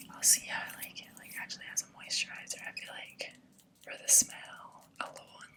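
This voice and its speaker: Noticeable background noise runs through the clip. Under it, a woman whispers. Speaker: ASMR content creator. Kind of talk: ASMR skincare review, casual talk to camera. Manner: whispered, soft-spoken.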